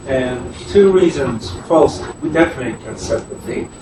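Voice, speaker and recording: Amid noticeable background noise and audible room echo, a man talks at a fairly slow pace with lively intonation. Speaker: committee member. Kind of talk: committee meeting.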